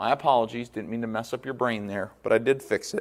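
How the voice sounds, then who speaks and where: The man talks at a very fast pace with lively intonation and a medium pitch. The recording is very clean, with a silent background. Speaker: math teacher. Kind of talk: recorded lecture. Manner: casual, conversational.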